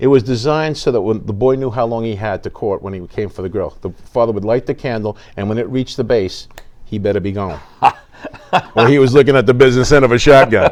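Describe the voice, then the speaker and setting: A man with a New York accent talks very fast at medium pitch, animated, with ordinary pitch variation. Noticeable background noise runs underneath. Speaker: theater show staff and tour guide. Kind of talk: casual interview.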